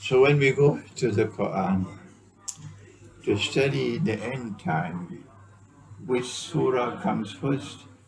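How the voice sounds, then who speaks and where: A man's medium-pitched voice at a very slow pace, with lively intonation, long and frequent pauses, and audible room echo. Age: 70s. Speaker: Islamic scholar. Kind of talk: lecture. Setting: small private gathering. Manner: animated.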